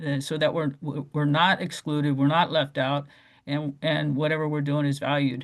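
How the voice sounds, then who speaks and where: A man with an American accent speaks at a fairly high pitch in a monotone, flat intonation. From Oregon, US. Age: 60s. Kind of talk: public meeting discussion. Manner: halting, many fillers.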